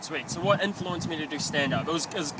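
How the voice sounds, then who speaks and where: Over noticeable background noise, a man with a New Zealand accent talks at a very fast pace, using a fairly high pitch and fairly even intonation. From New Zealand, Filipino-born, moved at eight. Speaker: actor and stand-up comedian. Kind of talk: casual interview answers. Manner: hesitant, many fillers.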